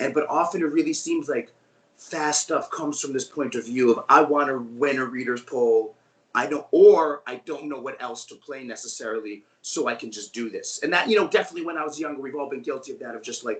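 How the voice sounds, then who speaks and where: A man with an American accent, fairly quick pace, and big swings in loudness. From New York. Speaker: guitarist in a band. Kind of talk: interview chat. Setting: video call. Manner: fast.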